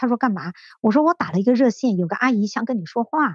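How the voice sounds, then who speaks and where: Fairly high-pitched and somewhat breathy, a woman talks at a very fast pace with lively intonation. The sound is dry and close, with no echo. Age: 50s. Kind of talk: interview testimony. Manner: hesitant, many fillers.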